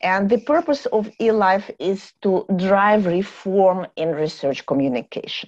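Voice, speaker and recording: This woman has a plain, everyday voice. Her intonation is lively. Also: medium pitch for a woman, fairly slow pace. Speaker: cell biology professor and journal editor. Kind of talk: webinar presentation. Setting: video call. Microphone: video call.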